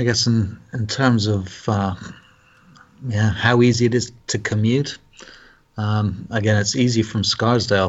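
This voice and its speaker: A man speaks with a British accent at a fairly slow pace. His pitch is fairly low and his intonation fairly even. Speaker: Lutheran pastor. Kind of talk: casual interview. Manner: halting, hesitant.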